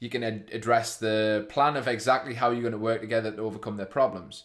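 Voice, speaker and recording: A very fast-talking man with a northeast England accent against a quiet background. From northeast of England. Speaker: fitness business owner presenting a video.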